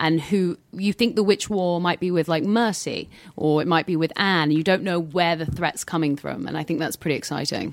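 A woman with a British accent speaks at a fairly quick pace and fairly low pitch, with fairly even intonation, on a very clean recording with a silent background. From southern England. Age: 20s. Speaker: actress. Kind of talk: casual chat.

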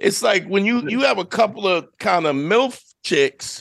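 A man with a New York accent speaks against a quiet background. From New York, Brooklyn. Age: 50s. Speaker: podcast host. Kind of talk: casual chat.

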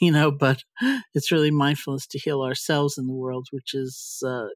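A woman's very deep, low voice in an American accent, moderate in pace and monotone, flat in intonation. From US Northeast, New York City. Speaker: meditation teacher and podcast host. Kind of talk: casual interview conversation. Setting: remote recording from home.

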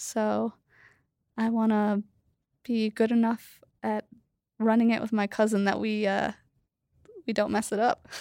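A woman's fairly high voice in monotone, flat intonation at a fairly slow pace, with long, frequent pauses, in a dry, close recording with no echo, very clean with a silent background. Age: 40s. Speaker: family food business owner. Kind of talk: interview conversation. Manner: hesitant, many fillers.

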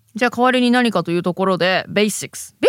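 On a very clean recording with a silent background, and with a dry, close sound and no echo, a woman speaks at medium pitch and a fairly slow pace. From Japan. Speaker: podcast co-host. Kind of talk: casual chat.

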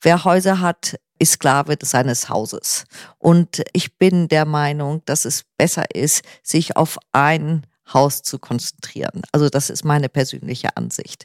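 A woman talks at a fairly slow pace with ordinary pitch variation. The sound is dry and close with no echo, on a very clean recording with a silent background. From northern Germany, near Kiel. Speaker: artist and homeowner. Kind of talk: casual interview.

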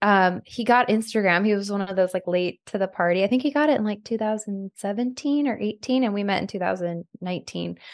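Here is a woman with an unremarkable speaking voice at a medium pitch and ordinary pitch variation. She moves at a fairly quick pace with hardly any pauses. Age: 40s. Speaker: reality TV personality and podcast host. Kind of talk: casual chat.

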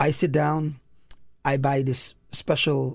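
A man speaks with a Saint Lucian accent at a medium pitch. His voice is somewhat breathy. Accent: Saint Lucian Caribbean English. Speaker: elementary school principal. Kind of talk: casual chat.

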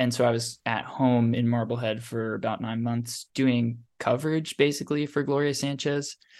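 Speaking in a normal speaking voice, a man with an American accent keeps a medium pitch and fairly even intonation. He goes at a moderate pace with hardly any pauses. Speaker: writers assistant. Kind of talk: casual interview chat.

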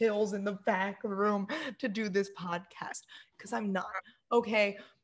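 A woman with a medium pitch talks at a fairly slow pace. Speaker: podcast co-host. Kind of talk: casual chat. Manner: animated.

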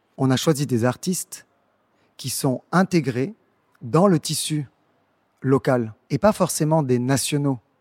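At a very slow pace with long, frequent pauses, a man speaks with ordinary pitch variation in a dry, close sound with no echo, on a very clean recording with a silent background. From Senegal, Dakar. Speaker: arts programmer and founder of a cultural agency. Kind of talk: interview monologue for an audio guide. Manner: hesitant, with fillers and repetitions.

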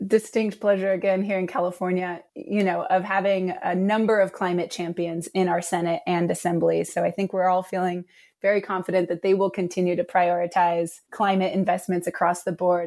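A woman's unremarkable speaking voice at a medium pitch, with fairly even intonation, a moderate pace and hardly any pauses, on a very clean recording with a silent background. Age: 30s. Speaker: state government climate policy advisor. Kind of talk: podcast interview.

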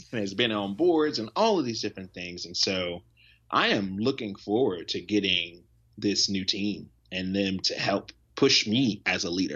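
Using an ordinary speaking voice with an American accent, a man talks at a moderate pace, fairly low in pitch, with ordinary pitch variation. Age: 20s. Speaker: nonprofit founder and teacher. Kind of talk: interview. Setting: video call.

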